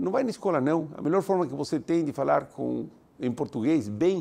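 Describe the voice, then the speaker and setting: The tone is dark and mellow, with very wide pitch swings. The pace is fairly quick. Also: man. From Italy, then Argentina. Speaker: university president and speaker. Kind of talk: motivational lecture.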